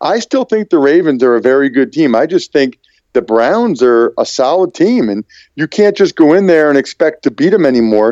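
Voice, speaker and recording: A man with an American accent, fairly high in pitch, with very wide pitch swings, a dark, mellow tone and a moderate pace, in a dry, close sound with no echo. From Pennsylvania. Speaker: NFL analyst and broadcaster. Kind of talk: interview. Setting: phone call.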